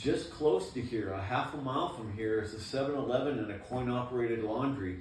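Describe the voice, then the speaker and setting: A man talks at a fairly quick pace with an American accent. Room echo is audible, and there is noticeable background noise. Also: medium pitch for a man, ordinary pitch variation, hardly any pauses. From Maine, US. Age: 60s. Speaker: former prison inmate. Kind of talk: interview.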